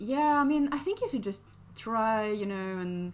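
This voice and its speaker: Over music in the background, a woman speaks with a non-native accent. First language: not English. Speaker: digital artist streamer. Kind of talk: live stream drawing tutorial chat. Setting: live stream with chat. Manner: casual, many fillers and hesitations.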